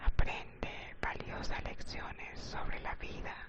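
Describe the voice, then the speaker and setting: At a very slow pace, a whisper comes through noticeable background noise. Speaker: ASMR channel host and story reader. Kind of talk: whispered ASMR story reading; sleep-oriented relaxation reading. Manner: whispered, soft.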